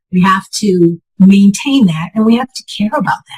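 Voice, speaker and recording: Somewhat breathy, a woman speaks with lively intonation at a moderate pace. The sound is dry and close, with no echo. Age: 60s. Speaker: patient sharing health story. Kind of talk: interview testimony.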